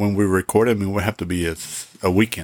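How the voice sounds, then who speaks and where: A man with a Spanish accent talks at a fairly quick pace. His fairly low voice sounds dry and close, with no echo. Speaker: podcast host. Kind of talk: casual chat. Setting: home recording.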